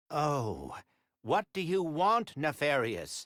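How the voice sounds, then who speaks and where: A man's put-on character voice, fairly high in pitch, at a very slow pace on a very clean recording with a silent background. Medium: video game. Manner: polite, proper.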